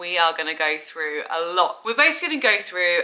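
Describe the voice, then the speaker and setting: A woman speaks in a London accent against noticeable background noise. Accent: southern English (London). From England. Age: 20s. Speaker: vlogger. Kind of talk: casual vlog talk to camera.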